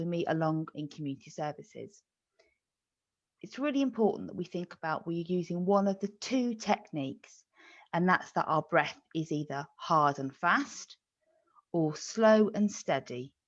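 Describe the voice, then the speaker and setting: Using a plain, everyday voice, a woman with fairly low pitch talks at a moderate pace with lively intonation. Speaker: physiotherapist. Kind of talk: medical webinar explanation.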